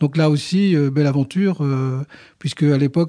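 The tone is dark and mellow over a quiet background. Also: man. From northern France, Boulogne-sur-Mer. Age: 60s. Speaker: company president. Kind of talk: interview. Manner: halting.

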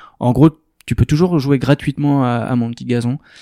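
A man speaks in a dark, mellow tone with fairly even intonation. The recording is very clean with a silent background, and the sound is dry and close with no echo. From France, Arcachon basin (southwest). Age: 30s. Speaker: startup co-founder. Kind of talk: interview. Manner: hesitant, many fillers.

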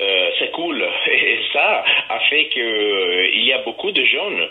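A man talks over noticeable background noise, his voice carrying an audible room echo. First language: Italian (speaking French). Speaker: festival organizer. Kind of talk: interview. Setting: phone call.

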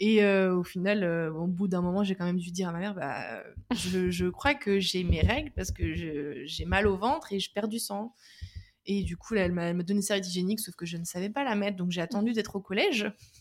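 A woman with a medium pitch and ordinary pitch variation speaks while noticeable background noise carries on. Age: 20s. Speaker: patient sharing her experience with endometriosis. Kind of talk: interview testimony.

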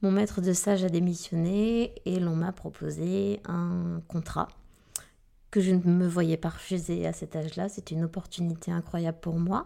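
A woman with a fairly low pitch and a dark, mellow tone speaks in a monotone, flat way at a fairly slow pace on a very clean recording with a silent background. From southwest France, Arcachon basin. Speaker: middle school teacher. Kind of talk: interview.

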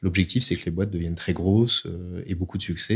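A man talking very fast with fairly even intonation, on a very clean recording with a silent background. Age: 30s. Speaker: startup founder and CEO. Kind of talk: interview.

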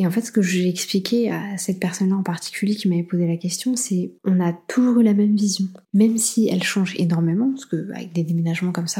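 Talking very fast with hardly any pauses, a woman has a somewhat breathy voice and a dark, mellow tone. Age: 30s. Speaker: podcast host. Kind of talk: solo advice monologue. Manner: animated.

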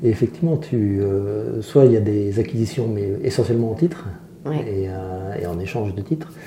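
With noticeable background noise behind him, a man speaks at a moderate pace in a fairly low pitch with lively intonation. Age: 50s. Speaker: entrepreneur. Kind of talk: casual chat.

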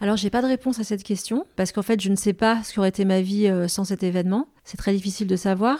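This woman talks at a very fast pace with a dark, mellow tone, a medium pitch and fairly even intonation. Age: 40s. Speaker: journalist and author. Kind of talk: interview conversation.

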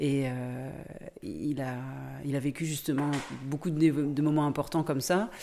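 A woman talks in a very deep, low voice with a dark, mellow tone and ordinary pitch variation. Her pace is fairly slow, with long, frequent pauses. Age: 40s. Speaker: volunteer host parent. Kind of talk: interview.

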